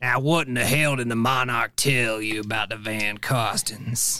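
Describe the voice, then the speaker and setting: A man's raspy, put-on character voice at a moderate pace, with medium pitch and fairly even intonation. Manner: gruff, menacing.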